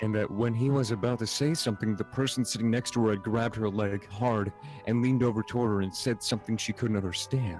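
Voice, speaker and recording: Over background music, a man rattles along at a very fast pace at a fairly low pitch, his intonation fairly even and his loudness very even. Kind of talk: reading a creepypasta story aloud, casual with cursing.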